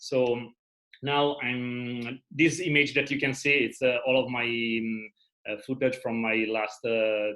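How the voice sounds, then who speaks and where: A man talks with a non-native accent at a fairly slow pace. His intonation stays fairly even. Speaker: travel videographer. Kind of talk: online presentation. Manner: halting, many fillers.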